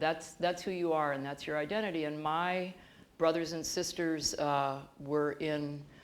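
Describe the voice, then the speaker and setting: A woman's very deep, low voice with a US Midwestern accent, fairly even intonation and a fairly slow pace, with audible room echo. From US Midwest, Bloomington, Illinois. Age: 60s. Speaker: professor. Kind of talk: interview on stage. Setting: auditorium stage with audience.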